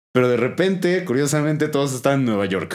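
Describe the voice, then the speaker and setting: A man speaks at a fairly quick pace with an Mexican accent. His intonation is lively. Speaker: podcast host. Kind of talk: casual chat.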